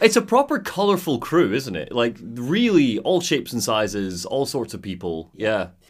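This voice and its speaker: A man with a Scottish accent speaks at a medium pitch and a moderate pace. His pitch swings very widely, and he hardly pauses. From Scotland. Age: 20s. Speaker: podcast host. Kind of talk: casual chat.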